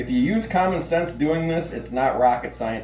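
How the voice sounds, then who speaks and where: A man with lively intonation, music in the background and audible room echo. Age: 50s. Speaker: butcher and hunter. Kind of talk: tutorial. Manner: halting, many fillers.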